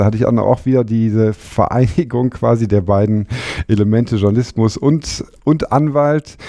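A man speaks at a moderate pace with a fairly low pitch. His tone is dark and mellow, with ordinary pitch variation. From Germany, Frankfurt. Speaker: legal journalist and former lawyer. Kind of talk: casual interview.

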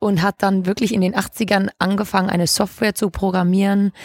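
This woman has an unremarkable speaking voice, pitched in the middle range and delivered at a moderate pace. The recording is very clean and dry, close with no echo and a silent background. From Hamburg, northern Germany. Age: 20s. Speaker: legal tech entrepreneur. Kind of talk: interview.

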